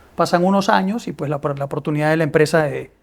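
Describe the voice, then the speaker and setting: Speech moves at a fairly quick pace on a very clean recording with a silent background. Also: man. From Peru. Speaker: business executive. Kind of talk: interview. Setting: studio. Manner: hesitant, many fillers and repetitions.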